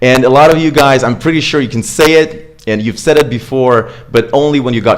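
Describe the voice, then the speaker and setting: Speaking at a moderate pace, a man uses a medium-pitched voice. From Russia, Moscow. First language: Russian. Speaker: accent coach. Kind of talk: live online tutorial. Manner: casual, with frequent fillers and self-corrections.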